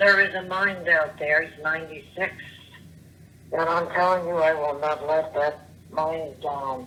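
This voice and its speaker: Fairly even intonation at a fairly slow pace, against noticeable background noise. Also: woman, very deep, low pitch for a woman. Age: 70s; old. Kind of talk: voicemail rant. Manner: rambling, scattered.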